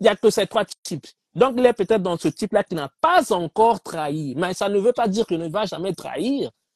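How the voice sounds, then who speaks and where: A man with a Congolese accent speaks at a moderate pace and high pitch, with lively intonation and big swings in loudness. The sound is dry with no echo, against a quiet background. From DR Congo. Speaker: debate participant. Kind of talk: heated debate. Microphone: video call.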